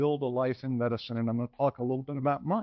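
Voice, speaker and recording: Here a man speaks at medium pitch with ordinary pitch variation. He has a normal speaking voice. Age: 60s. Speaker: physician, lecturer. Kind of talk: lecture.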